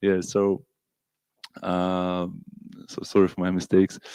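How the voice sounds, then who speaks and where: In a Russian accent, a man speaks with a fairly low pitch, the sound dry and close with no echo. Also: very clean recording, silent background. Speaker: Hare Krishna devotee lecturer. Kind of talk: scripture class lecture. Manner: halting, many fillers and repeats.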